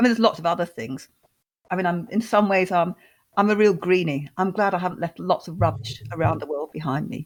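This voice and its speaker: Vocal fry marks a woman's fairly low voice. She speaks at a very fast pace with lively intonation. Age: 60s. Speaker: housing advocate and author. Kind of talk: podcast interview.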